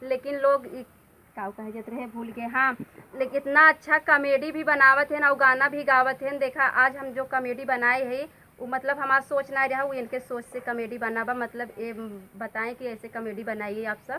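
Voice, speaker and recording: With fairly even intonation, a woman speaks in a raised, projected voice. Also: hardly any pauses. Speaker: comedy actress. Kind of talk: casual talk to camera.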